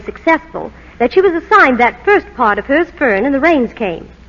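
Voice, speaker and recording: Through noticeable background noise, a woman talks at a moderate pace in a high voice with very wide pitch swings. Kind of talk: vintage radio commercial dialogue. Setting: archival old-time radio broadcast recording.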